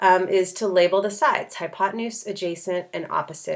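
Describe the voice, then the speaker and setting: The recording is very clean, with a silent background, and a woman talks in an unremarkable speaking voice. Her pitch is medium, with ordinary pitch variation at a moderate pace. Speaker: high school math teacher. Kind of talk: tutorial.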